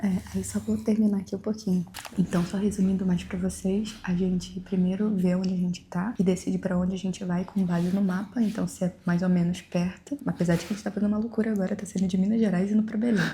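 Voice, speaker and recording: Speaking at a very fast pace with hardly any pauses, a woman uses a medium-pitched, somewhat breathy voice with a dark, mellow tone and fairly even intonation. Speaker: travel vlogger. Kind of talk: casual tutorial chat. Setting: early morning, leaving town.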